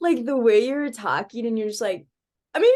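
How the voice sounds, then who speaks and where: In an American accent, a woman speaks with a high pitch and an upbeat, bubbly tone. Her pitch swings very widely. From northern US. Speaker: podcast host, college student. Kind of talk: casual chat. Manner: upbeat and bubbly.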